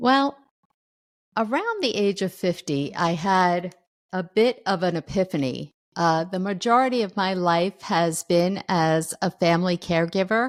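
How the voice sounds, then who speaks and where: At a fairly slow pace, a woman talks in a normal speaking voice of medium pitch with ordinary pitch variation. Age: 60s. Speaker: author. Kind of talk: interview.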